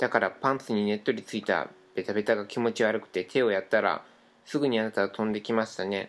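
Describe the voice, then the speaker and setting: A man talks very fast with fairly even intonation. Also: fairly low pitch for a man. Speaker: podcast co-host. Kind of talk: reading aloud. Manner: stumbling over words.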